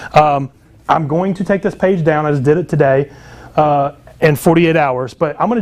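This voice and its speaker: A man with ordinary pitch variation. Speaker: book publishing coach and marketer. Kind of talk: sales pitch. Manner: fast; casual, many filler words.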